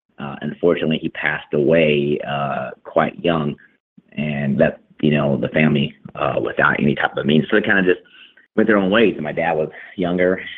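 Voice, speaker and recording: This man has an American accent and a very deep, low pitch. He speaks at a moderate pace. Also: ordinary pitch variation. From Texas. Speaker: army veteran, interviewee. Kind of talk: interview testimony.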